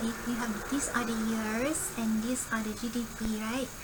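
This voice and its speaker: A woman speaks at a high pitch, with noticeable background noise and audible room echo. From Singapore. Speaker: coding tutorial creator. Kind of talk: screen-recorded coding tutorial. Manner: casual, thinking aloud with fillers.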